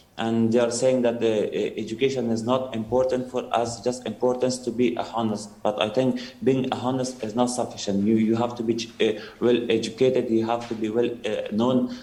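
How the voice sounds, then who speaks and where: Amid noticeable background noise and audible room echo, a man speaks at a moderate pace in a medium pitch with flat, monotone intonation. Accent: Afghan. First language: Dari. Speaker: Afghan evacuee. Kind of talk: testimony. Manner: halting, many fillers.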